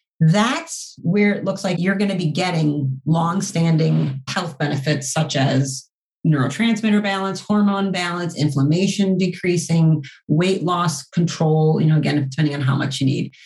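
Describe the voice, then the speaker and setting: Somewhat breathy, a woman talks at a moderate pace. Her pitch is fairly low, with ordinary variation. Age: 40s. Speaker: doctor running a natural therapies practice. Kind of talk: interview.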